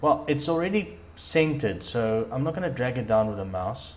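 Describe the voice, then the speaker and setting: Man with a non-native accent, very wide pitch swings, a moderate pace and audible room echo. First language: not English. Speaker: dirt bike hobbyist vlogger. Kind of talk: tutorial. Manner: hesitant, many fillers and repeats.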